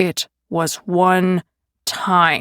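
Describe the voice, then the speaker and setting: This is a put-on character voice. Its intonation is monotone and flat. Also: woman. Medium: read story. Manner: aggressive, demanding.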